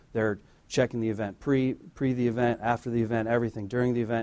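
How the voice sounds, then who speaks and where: At a fairly quick pace, a man speaks in a plain, everyday voice at a medium pitch with fairly even intonation. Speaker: church deacon giving offering message. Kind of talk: offering message, light humor.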